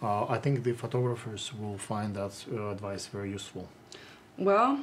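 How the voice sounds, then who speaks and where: A man speaks at a moderate pace with a strong Russian accent. His intonation stays fairly even. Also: medium pitch for a man. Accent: heavy Russian. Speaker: interviewer, photographer. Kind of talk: interview. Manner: halting, many fillers.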